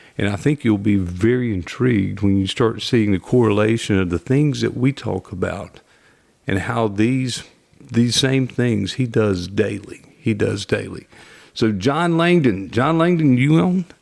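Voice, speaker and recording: A man speaks with a North Carolina accent at a medium pitch. His pace is fairly slow. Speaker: podcast host, mortgage division leader. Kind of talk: interview podcast.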